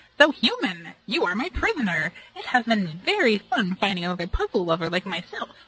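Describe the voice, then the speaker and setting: A female-sounding, put-on character voice speaks at a moderate pace. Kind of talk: comic overacting. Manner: loud, enthusiastic, grandiose.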